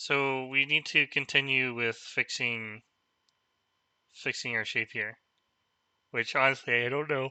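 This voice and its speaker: A man speaks at a fairly slow pace in a monotone, flat delivery. He leaves long, frequent pauses. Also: medium pitch for a man. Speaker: go teacher reviewing games. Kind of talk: game review livestream. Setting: live stream. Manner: hesitant, with fillers.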